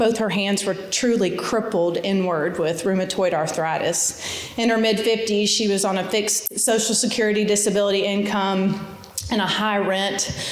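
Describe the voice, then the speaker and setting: A woman at a moderate pace, intonation fairly even, loudness very even, with audible room echo and noticeable background noise. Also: medium pitch for a woman. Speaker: nonprofit foundation executive. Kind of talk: inspirational talk. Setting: stage with audience. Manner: casual, conversational.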